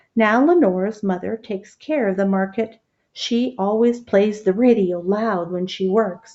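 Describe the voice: Against a quiet background, the voice is plain reading aloud. Nothing else stands out.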